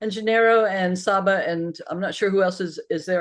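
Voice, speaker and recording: Speaking fairly quickly with an American accent, a woman uses ordinary pitch variation at a medium pitch. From Connecticut, US. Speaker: conference presenter, academic. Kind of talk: conference presentation over video call. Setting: video call (Zoom).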